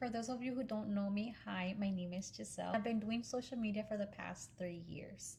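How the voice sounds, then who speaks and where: A woman's very fast, medium-pitched voice with an American accent and fairly even intonation, music playing in the background. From Pennsylvania, US, then Texas from age 14. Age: 20s. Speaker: social media content creator. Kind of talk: casual vlog talk to camera.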